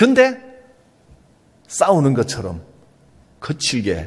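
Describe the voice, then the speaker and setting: Somewhat breathy, a man speaks with very wide pitch swings and audible room echo. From Gyeongsang Province, South Korea. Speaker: pastor. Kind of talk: sermon.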